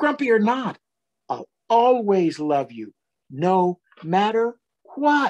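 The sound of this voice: Using a put-on character voice, a man talks slowly at a high pitch with big pitch swings and a slightly mellow tone.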